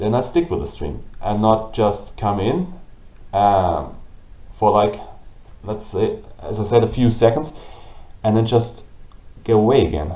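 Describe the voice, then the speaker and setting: A man with a German accent, fairly low pitch, vocal fry and lively intonation, at a fairly slow pace with long, frequent pauses and audible room echo. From Germany. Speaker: gaming YouTuber and streamer. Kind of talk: vlog monologue. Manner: halting. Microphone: old camera, low quality.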